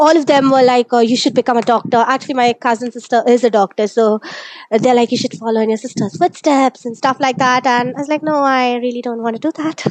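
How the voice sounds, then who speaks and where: In an Indian accent, a woman speaks at a very fast pace and a high pitch with fairly even intonation, the sound dry and close with no echo. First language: Malayalam. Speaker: technical writer. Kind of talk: interview.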